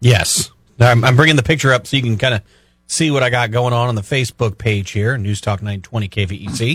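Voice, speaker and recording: A man's plain, everyday voice at a medium pitch and moderate pace, with ordinary pitch variation, on a very clean recording with a silent background. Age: 50s. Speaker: radio co-host. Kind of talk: casual chat. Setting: radio studio.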